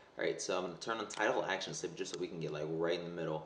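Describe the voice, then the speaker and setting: A man talks very fast while noticeable background noise carries on behind him. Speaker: video tutorial creator. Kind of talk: software tutorial. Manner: casual, hesitant with fillers.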